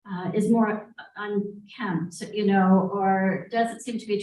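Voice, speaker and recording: Somewhat breathy and medium in pitch, a woman's voice holds a monotone, flat intonation. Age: 60s. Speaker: senior living community representative. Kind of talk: panel discussion. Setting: live event with audience in the room.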